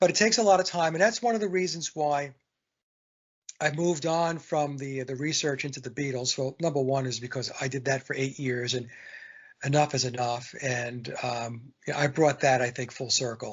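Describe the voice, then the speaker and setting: A man with a fairly high-pitched, somewhat breathy voice. His pitch varies in an ordinary way at a moderate pace. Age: 60s. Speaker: musician and songwriter. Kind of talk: casual chat. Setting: podcast interview.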